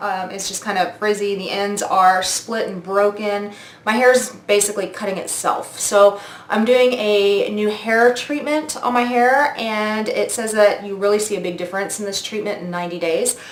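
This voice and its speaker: With hardly any pauses, a woman talks at a moderate pace in a medium pitch and fairly even intonation, over noticeable background noise and audible room echo. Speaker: beauty vlogger. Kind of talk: product review vlog.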